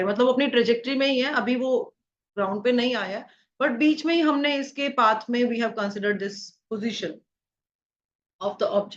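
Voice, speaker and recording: Against a quiet background, a woman with an ordinary speaking voice talks at a fairly quick pace, with fairly high pitch and ordinary pitch variation. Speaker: physics teacher. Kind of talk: lecture.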